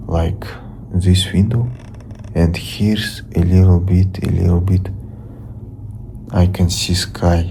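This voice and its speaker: A very slow man's voice with a Russian accent, very deep and low, with long, frequent pauses, very even loudness, audible room echo and noticeable background noise. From Russia (Ufa). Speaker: vlogger. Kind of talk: casual vlog monologue. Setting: home, lying on the floor. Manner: halting, repetitive.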